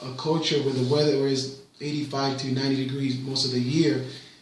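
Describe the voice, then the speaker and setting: A man with a fairly high voice speaks in a monotone, flat intonation. Audible room echo and noticeable background noise surround him. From Puerto Rico. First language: Spanish. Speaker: parent interviewed by his child. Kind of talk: casual interview. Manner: hesitant, with fillers and repetitions.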